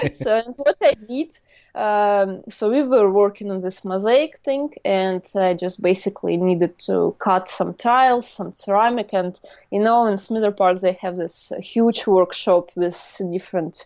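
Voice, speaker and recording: A woman speaks with a Russian accent at a fairly slow pace. Her pitch varies in an ordinary way. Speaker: artist. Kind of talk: interview storytelling. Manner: halting.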